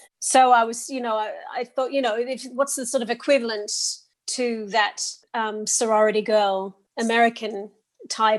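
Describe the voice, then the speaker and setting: A woman with a strong Australian accent, fairly high pitch and fairly even intonation, at a moderate pace against a quiet background. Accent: thick Australian. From Australia (Sydney) and England (Oxford). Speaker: actor and singer. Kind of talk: interview. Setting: podcast interview. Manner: halting, with frequent repetitions.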